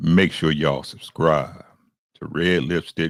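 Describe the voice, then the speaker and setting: A woman puts on a character voice with a very deep, low pitch. She speaks at a fairly slow pace. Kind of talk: polished, smooth broadcast voice.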